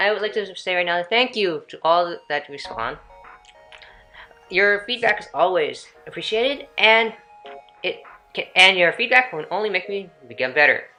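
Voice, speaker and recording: A woman speaks at a moderate pace and medium pitch with lively intonation and big swings in loudness. She takes long, frequent pauses as music plays in the background. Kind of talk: everyday natural voice.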